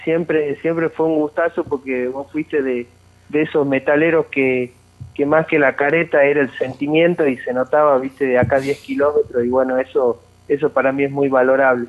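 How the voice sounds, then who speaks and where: A man talks in monotone, flat intonation at a fairly high pitch. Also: moderate pace. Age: 20s. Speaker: metal band guitarist. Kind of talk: casual interview.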